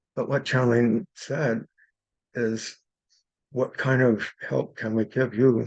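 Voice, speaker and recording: A man's medium-pitched voice with vocal fry and fairly even intonation. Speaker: spiritual healer and channeler. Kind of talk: workshop class talk.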